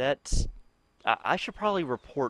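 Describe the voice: A man speaks with big pitch swings and a fairly bright tone. His pace is moderate.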